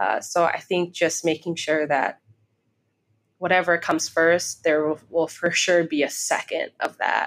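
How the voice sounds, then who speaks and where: With an American accent, a woman speaks at a fairly slow pace in a fairly low voice, using monotone, flat intonation and very even loudness. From Chicago and Iowa. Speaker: law student and aspiring podcaster. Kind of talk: interview conversation. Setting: co-working space.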